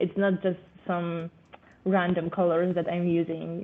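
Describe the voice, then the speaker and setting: A woman speaks with a non-native accent at a fairly slow pace. Her fairly low pitch stays monotone and flat. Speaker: artist. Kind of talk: interview. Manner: halting, many fillers.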